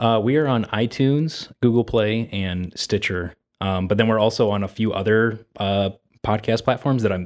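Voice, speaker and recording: Its pitch varying in an ordinary way, this is a normal speaking voice. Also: man, fairly low pitch for a man, moderate pace. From northwest Ohio. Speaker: filmmaker and podcaster. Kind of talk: casual chat.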